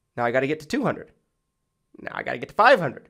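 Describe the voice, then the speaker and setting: The background stays quiet while a man talks. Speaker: insurance agent and sales trainer; insurance agent trainer. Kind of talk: tutorial. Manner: casual, filler-heavy. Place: home room. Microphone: studio mic.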